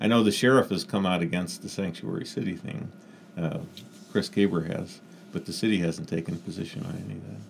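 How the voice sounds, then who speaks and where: Speaking at a very fast pace, a man with a very deep, low voice and vocal fry shows ordinary pitch variation and big swings in loudness. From South Dakota. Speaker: attorney and city council member. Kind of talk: interview.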